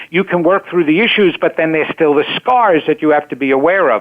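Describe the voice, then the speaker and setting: In an ordinary speaking voice, a man talks with lively intonation at a fairly high pitch. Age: 60s. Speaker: psychotherapist and psychic, former actor and singer. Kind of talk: interview.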